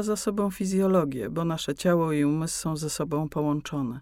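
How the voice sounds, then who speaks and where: A woman talks at a moderate pace in a plain, everyday voice with ordinary pitch variation, on a very clean recording with a silent background. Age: 60s. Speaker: meditation teacher, former ballet dancer. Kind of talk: explanatory interview talk. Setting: studio.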